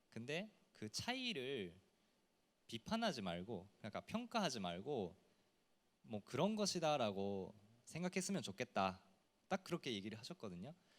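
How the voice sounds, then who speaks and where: A man's medium-pitched voice with very wide pitch swings at a moderate pace, long, frequent pauses, and a dry, close sound with no echo. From Japan. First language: Japanese (speaking Korean). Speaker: TV personality. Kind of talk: panel discussion.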